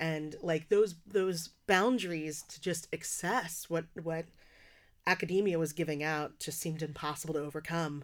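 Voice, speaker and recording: A woman with an American accent and an ordinary speaking voice, fairly low in pitch, at a moderate pace with fairly even intonation, on a very clean recording with a silent background. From US Northeast, working-class Philadelphia. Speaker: poet and slam performer. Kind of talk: casual interview conversation.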